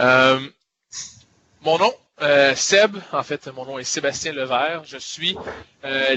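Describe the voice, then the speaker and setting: Speaking very slowly, a man with a Quebec accent uses a fairly high pitch. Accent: Québécois French. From Quebec, Montreal. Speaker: software product evangelist. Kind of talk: webinar product presentation. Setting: online webinar. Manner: many hesitations and filler words.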